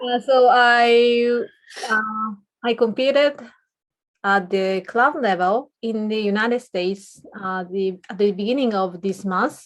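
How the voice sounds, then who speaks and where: Fairly slow pace with a Japanese accent. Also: woman, fairly high pitch for a woman, ordinary pitch variation. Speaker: podcast co-host, public speaking club member. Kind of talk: casual chat.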